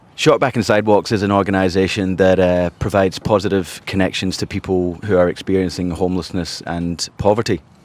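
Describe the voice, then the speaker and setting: A man with a Scottish accent and a very deep, low pitch, at a fairly quick pace with hardly any pauses and fairly even intonation. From Scotland, Glasgow. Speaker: charity founder and civil engineer. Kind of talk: podcast interview. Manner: halting, many repeated words.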